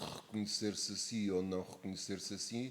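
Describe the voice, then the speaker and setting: A man with an Algarve accent speaks at a fairly low pitch. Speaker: actor and theatre director. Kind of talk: interview answer.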